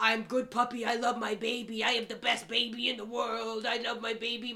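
A man puts on a character voice pitched extremely high. He moves at a fairly quick pace. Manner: weird, fake, cutesy.

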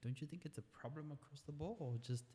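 Man's somewhat breathy voice, dark and mellow in tone, with fairly even intonation and a fairly quick pace. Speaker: podcast host. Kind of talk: casual interview.

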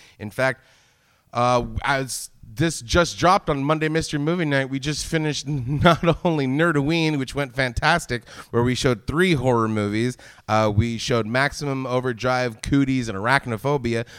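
A man's plain, everyday voice at medium pitch, moderate pace and ordinary pitch variation. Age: 40s. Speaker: podcast host. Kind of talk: casual chat. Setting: live show with audience.

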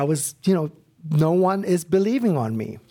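A man with an Arabic accent and lively intonation. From Iraq, Baghdad, with years in London as a child. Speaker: former war translator and film subject. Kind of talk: interview testimony. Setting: stage taping with audience. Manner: halting, many fillers.

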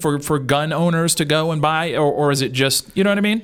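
A man talks at a fairly quick pace in a normal speaking voice. His pitch varies in an ordinary way. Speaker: radio host. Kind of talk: casual radio chat. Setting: studio.

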